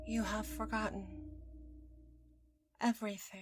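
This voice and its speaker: A woman performs a put-on character voice. She speaks at a moderate pace. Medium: role play.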